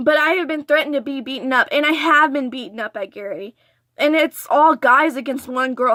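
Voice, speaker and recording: A woman with an American accent speaks in a raised, projected voice with a bright, sharp tone, ordinary pitch variation and a moderate pace. The sound is dry and close with no echo, and the recording is very clean with a silent background. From Texas border region. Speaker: vlogger. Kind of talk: story time vlog. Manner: stuttering.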